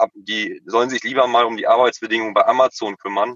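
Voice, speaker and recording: Moderately paced, a man's voice comes across dry and close, without any echo. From Emsland, Lower Saxony, northwest Germany. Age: 20s. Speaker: kiosk owner. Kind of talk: interview. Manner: halting.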